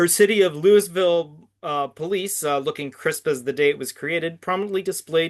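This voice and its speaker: Against a quiet background, a man with a Canadian accent uses an ordinary speaking voice, fairly high in pitch. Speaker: podcast host. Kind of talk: scene description narration; casual interview chat.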